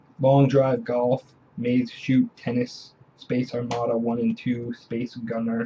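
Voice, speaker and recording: Slow to a great degree, a man speaks in a dark, mellow tone that is somewhat breathy. Light background noise sits behind him. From Canada. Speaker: video game collector and video creator. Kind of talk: casual show-and-tell haul video. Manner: hesitant, many filler sounds. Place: home room. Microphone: webcam.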